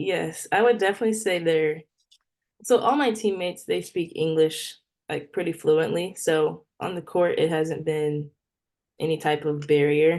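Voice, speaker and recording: A woman with an unremarkable speaking voice and an American accent talks at a moderate pace, fairly low in pitch with ordinary pitch variation. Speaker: professional volleyball player. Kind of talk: casual interview.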